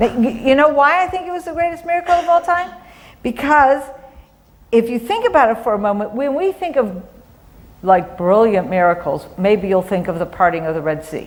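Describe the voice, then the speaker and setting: A woman with a fairly high pitch speaks at a fairly quick pace, her voice making very wide pitch swings against noticeable background noise. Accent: American. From US Midwest, Cleveland, Ohio. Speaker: advocacy organization director. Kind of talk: talk to church congregation. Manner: conversational, with hesitations.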